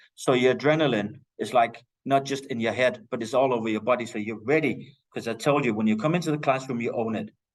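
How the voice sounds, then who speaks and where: With a Danish accent, a man talks at a fairly quick pace. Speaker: teacher. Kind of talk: lecture. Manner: loud.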